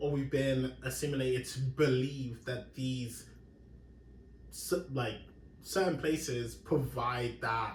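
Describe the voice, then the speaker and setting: A man with an English accent, medium pitch, somewhat breathy, at a very slow pace, with audible room echo. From London, England. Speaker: podcast host. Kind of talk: casual chat.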